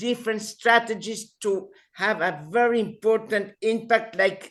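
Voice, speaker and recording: Here a woman talks at a very slow pace. Her pitch sits in the medium range. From Uruguay. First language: Spanish. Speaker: civil society activist. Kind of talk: online panel discussion. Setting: video call. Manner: halting.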